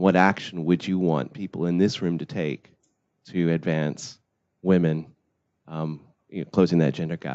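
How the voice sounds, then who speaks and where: A man's very deep, low voice at a moderate pace, ordinary pitch variation and long, frequent pauses. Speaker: audience member asking question. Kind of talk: audience question. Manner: loud.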